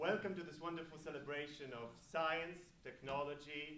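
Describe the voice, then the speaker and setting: Audible room echo colors a man's speech. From Poland, Gdynia. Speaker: event host. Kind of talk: event speech. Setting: stage with audience.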